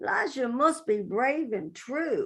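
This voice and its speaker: Her voice is high in pitch, and this woman's speech has very wide pitch swings. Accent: West Virginia. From West Virginia. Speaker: poet. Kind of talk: poetry reading.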